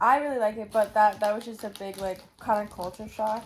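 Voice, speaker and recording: A woman speaks in an animated tone at a moderate pace. Her pitch is fairly high. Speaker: travel vlogger. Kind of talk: casual chat. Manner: loud.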